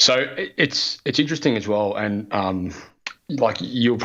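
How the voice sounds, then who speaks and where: A fairly low-pitched man with an Australian accent and ordinary pitch variation. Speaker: podcaster, former plumber. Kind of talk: interview answer.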